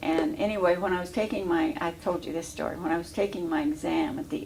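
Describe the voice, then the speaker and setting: A woman with an American accent, with audible room echo. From Illinois. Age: 80s+. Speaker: war veteran. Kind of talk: oral history interview. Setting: veterans home. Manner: halting.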